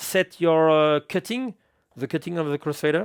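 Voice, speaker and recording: In a French accent, a man with a fairly high pitch and ordinary pitch variation speaks in a dry, close sound with no echo, on a very clean recording with a silent background. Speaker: DJ equipment reviewer. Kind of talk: product review tutorial. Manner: halting.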